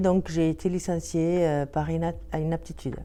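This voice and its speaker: Her voice is fairly low for a woman, dark and mellow in tone, with fairly even intonation at a fairly slow pace. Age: 50s. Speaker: career changer, former home care worker. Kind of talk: testimony. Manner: hesitant, many fillers.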